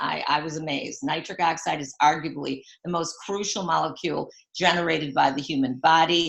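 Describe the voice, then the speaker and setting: A woman with a very deep, low pitch, an animated tone, ordinary pitch variation and a moderate pace. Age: 70s. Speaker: retired teacher and product seller. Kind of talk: sales pitch.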